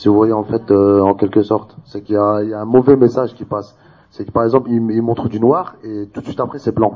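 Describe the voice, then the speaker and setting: Fairly low in pitch, a man has an unremarkable speaking voice with fairly even intonation. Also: fairly quick pace. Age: 20s. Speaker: debate participant. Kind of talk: public debate.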